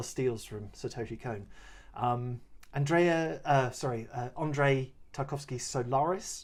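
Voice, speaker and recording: Somewhat breathy and mumbling, this voice moves at a fairly slow pace with ordinary pitch variation. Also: man, medium pitch for a man. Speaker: podcast co-host. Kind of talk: podcast film discussion.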